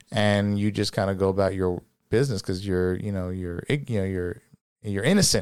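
In a plain, everyday voice, a man speaks at a fairly quick pace and fairly low pitch with fairly even intonation, recorded very cleanly against a silent background. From New Jersey. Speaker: former police officer and business founder. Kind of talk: casual chat.

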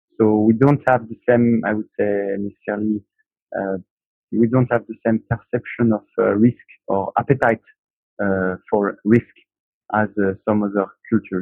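With a French accent, a man speaks at a moderate pace in a fairly low pitch, his intonation monotone and flat and broken by long, frequent pauses. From France. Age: 30s. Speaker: aerospace engineer, project manager. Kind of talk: casual chat. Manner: halting.

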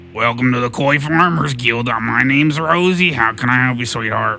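A put-on character voice with a bored tone, set against clear music in the background. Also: man, medium pitch for a man, moderate pace. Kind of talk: casual, flirtatious. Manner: lazy, bored.

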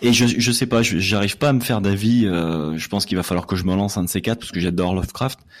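Very fast delivery from a man with a fairly low voice and ordinary pitch movement. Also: hardly any pauses. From France, Lyon. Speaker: literature podcaster. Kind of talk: casual chat.

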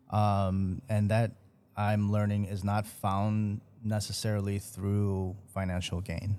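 Very slowly and in a flat monotone, a man with an American accent speaks in a fairly low pitch with a dark, mellow tone. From Chicago, US Midwest. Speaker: chef and restaurateur, podcast co-host. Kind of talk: casual chat.

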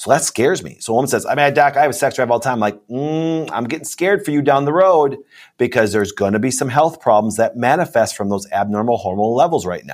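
A man speaks very fast, with hardly any pauses and an animated tone, at a medium pitch. The recording is very clean, with a silent background. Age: 40s. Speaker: hormone doctor. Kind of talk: interview.

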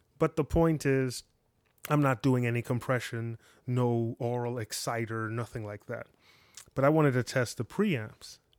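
A man at medium pitch with fairly even intonation and a moderate pace, in a dry, close sound with no echo on a very clean recording with a silent background. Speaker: podcast host reviewing audio gear. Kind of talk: gear review monologue. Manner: casual, with many fillers.

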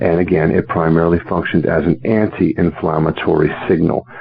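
Noticeable background noise accompanies a man with a very deep, low pitch, speaking at a moderate pace with ordinary pitch variation. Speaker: medical doctor. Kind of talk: interview. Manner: articulate.

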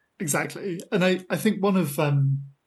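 The voice is somewhat breathy. It carries a British accent. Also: man. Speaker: podcast host and postdoctoral mathematician.

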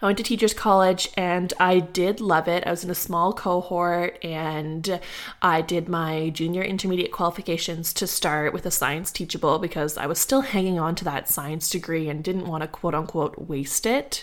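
A woman with a Canadian accent speaks at a moderate pace in a fairly low pitch. Her pitch varies in an ordinary way, with hardly any pauses. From Ottawa, Canada. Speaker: podcast host and kindergarten teacher. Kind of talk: casual solo monologue.

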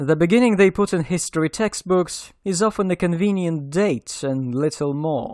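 A high-pitched man's voice with lively intonation and a non-native accent. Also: very clean recording, silent background. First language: not English. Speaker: podcast host and narrator. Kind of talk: scripted narration.

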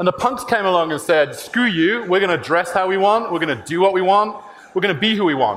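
In a British accent, a man speaks at a very fast pace in a high pitch with ordinary pitch variation and very even loudness, over noticeable background noise and audible room echo. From UK. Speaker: tech company CEO. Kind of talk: conference talk.

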